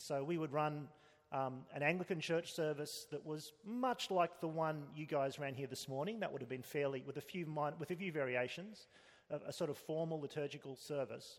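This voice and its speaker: A man with an Australian accent, fairly high-pitched for a man, at a moderate pace with ordinary pitch variation. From Australia (Sydney). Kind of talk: interview.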